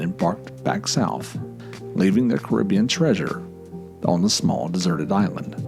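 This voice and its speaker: Over music in the background, a man speaks at a fairly slow pace in a very deep, low pitch with very wide pitch swings. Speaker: podcast host and storyteller. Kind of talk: folklore storytelling narration. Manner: casual, conversational.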